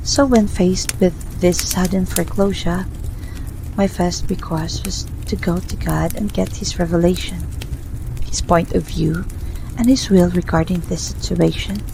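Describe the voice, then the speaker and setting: There is noticeable background noise as a woman talks with long, frequent pauses. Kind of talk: personal faith testimony, ASMR. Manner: whispered.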